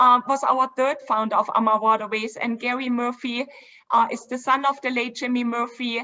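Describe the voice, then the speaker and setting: A woman with a German accent, high-pitched, flat and monotone, at a moderate pace. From Germany, Dresden. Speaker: river cruise company co-founder. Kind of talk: virtual event presentation.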